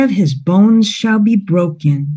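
A woman with a fairly low pitch and a dark, mellow, somewhat breathy tone speaks very slowly with lively intonation against a quiet background. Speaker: Bible storyteller. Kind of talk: dramatic narration of a Bible story, felt-board storytelling with a prayer at the end. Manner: solemn, dramatic, reverent. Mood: gentle, reverent. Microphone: video call.

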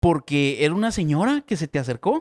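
In a quiet background, a man talks at a moderate pace in a fairly high pitch with lively intonation. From Guatemala. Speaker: comedy podcast co-host; podcast host. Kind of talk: casual chat. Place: studio. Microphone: studio mic.

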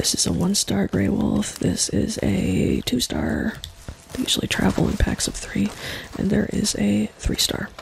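A soft-spoken woman with a calm tone, very even loudness and a fairly slow pace, against noticeable background noise. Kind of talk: casual gameplay commentary. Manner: soft-spoken, calm.

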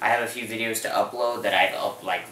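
A man talks at a moderate pace amid light background noise and audible room echo. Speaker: video blogger. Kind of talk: casual vlog chat. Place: home room. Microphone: camera far.

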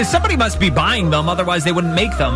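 A man's upbeat, energetic voice, dry with no echo, over clear background music. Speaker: radio host. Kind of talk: radio show hosting, music station DJ patter. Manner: upbeat, energetic, friendly. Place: studio. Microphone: studio mic.

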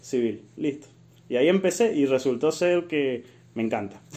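This man's voice has a dark, mellow tone. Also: quiet background. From Argentina, Mendoza. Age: 20s. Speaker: civil engineer. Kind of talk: casual interview chat.

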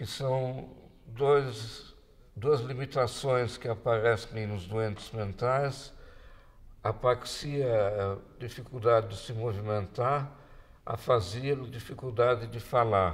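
A man talks at a very slow pace with fairly even intonation, big swings in loudness and a somewhat breathy quality. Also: medium pitch for a man. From Brazil. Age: 80s+. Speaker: physicist and science communicator. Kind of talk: talk to an audience. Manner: halting. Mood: reflective, reminiscing. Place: home room.

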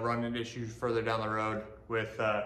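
Room echo is clearly audible as the man talks. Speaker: DIY builder vlogger. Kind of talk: casual vlog chat. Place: garage.

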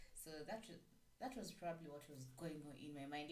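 A woman's pitch varies in an ordinary way, with room echo clearly audible. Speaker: radio show host. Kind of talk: radio show host chat. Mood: warm, cheerful. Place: studio.

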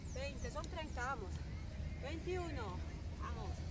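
Through loud background noise, a woman speaks at a very slow pace in a dry sound with no echo. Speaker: fitness instructor. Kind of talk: workout coaching, counting reps. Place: street.

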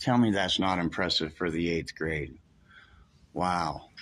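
A man with a very deep, low pitch and vocal fry at a fairly slow pace. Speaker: self-described news reporter filming. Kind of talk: casual narration while filming. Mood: calm, mildly confrontational. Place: office. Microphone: phone near.

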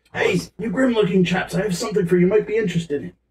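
Putting on a character voice, a man speaks very fast in a high pitch with fairly even intonation. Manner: furtive, wheedling.

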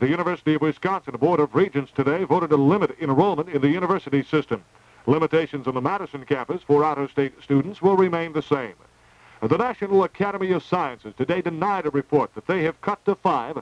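Recorded dry with no echo, a man talks at a very fast pace with ordinary pitch variation. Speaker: radio newscaster. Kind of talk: news reading. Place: studio. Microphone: old recording.

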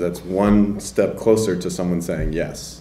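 Over light background noise and audible room echo, a man with an American accent speaks at a very deep, low pitch with ordinary pitch variation. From US South, Nashville, Tennessee; Tennessee. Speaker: poet. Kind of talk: panel Q&A discussion. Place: classroom. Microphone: handheld.

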